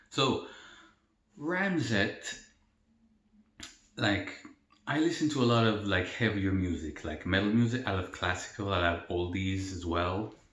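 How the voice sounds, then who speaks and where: With audible room echo, a man talks at a fairly slow pace in a very deep, low pitch. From El Salvador. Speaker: mukbang youtuber. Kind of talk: casual Q&A while eating. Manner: casual, filler-heavy.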